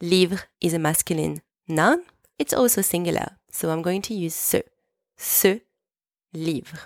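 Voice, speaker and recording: Recorded very cleanly with a silent background and a dry, close sound with no echo, a woman with a French accent speaks at a fairly slow pace and fairly low pitch, using ordinary pitch variation and long, frequent pauses. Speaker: French teacher and podcast host. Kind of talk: language lesson. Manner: clear, slow didactic pace.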